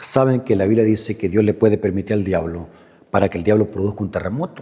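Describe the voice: This man speaks fast with a fairly low pitch, a dark, mellow tone and a slightly husky edge.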